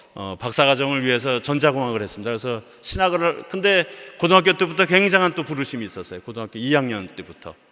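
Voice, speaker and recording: A man talks at a very fast pace with a fairly high pitch and very wide pitch swings, against noticeable background noise. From South Korea. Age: 60s. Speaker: missionary. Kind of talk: sermon.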